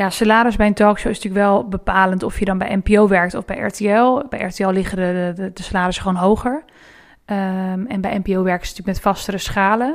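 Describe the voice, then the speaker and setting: A woman with a normal speaking voice talks at a fairly quick pace and medium pitch, with fairly even intonation, in a very clean recording with a silent background. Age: 20s. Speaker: talk show editor. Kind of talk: interview.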